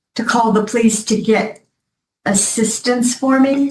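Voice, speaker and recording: A woman talks at a very slow pace. Her voice is somewhat breathy, with ordinary pitch variation. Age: 70s. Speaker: defendant testifying in court. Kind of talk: courtroom testimony. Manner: halting.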